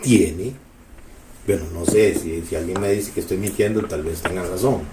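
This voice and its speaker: Animated yet moderate in pace, a man with a Costa Rican accent speaks at a fairly low pitch with ordinary pitch variation, amid noticeable background noise and audible room echo. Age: 70s. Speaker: community elder. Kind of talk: oral history interview.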